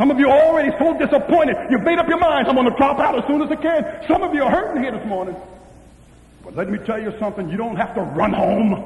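Amid audible room echo, a man with an extremely high pitch talks at a very fast pace with lively intonation. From US East Coast. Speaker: pastor. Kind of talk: sermon. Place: hall.

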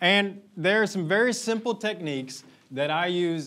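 The man's speech has lively intonation. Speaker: conference speaker. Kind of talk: conference talk. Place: hall.

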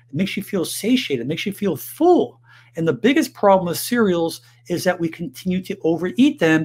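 With lively intonation and a fairly quick pace, a man speaks over a quiet background. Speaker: health educator. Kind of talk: health advice monologue to camera. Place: home room.

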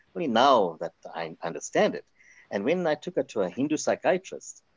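This man's voice is fairly high with vocal fry. He talks at a fairly quick pace, his pitch swinging very widely. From South Africa, Indian heritage. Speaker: pastor. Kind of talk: testimony.

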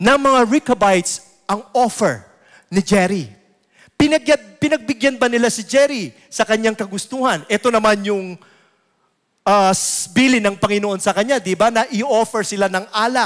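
The background is quiet as a man talks at a moderate pace. His pitch is high, with ordinary pitch variation. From Philippines. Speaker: lay preacher. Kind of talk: sermon. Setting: church. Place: church. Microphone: headset.

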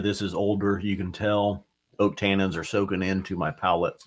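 A man's fairly low, monotone voice with flat intonation, delivered at a moderate pace against a quiet background. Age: 50s. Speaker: whiskey society representative, reviewer; reviewer. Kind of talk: live stream casual chat. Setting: studio. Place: studio.

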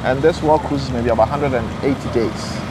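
A man at a medium pitch, fairly quick in pace, with ordinary pitch variation and clear background noise.

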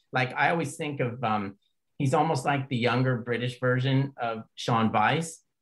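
This man has an ordinary speaking voice, with ordinary pitch variation and a moderate pace. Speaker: podcast host. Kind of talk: casual interview chat.

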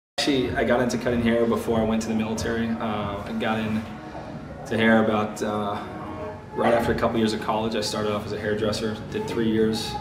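This man's intonation is monotone and flat. He talks at a fairly quick pace with clear music in the background. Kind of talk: interview answer. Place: shop.

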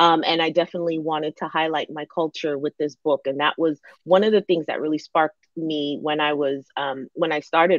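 A woman with an American accent and a very deep, low pitch, fairly even intonation, a moderate pace, dry sound with no echo and a quiet background. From Northern Virginia, US (DC area), Ghanaian family. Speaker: novelist; guest. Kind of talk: interview. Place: home room. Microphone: video call.

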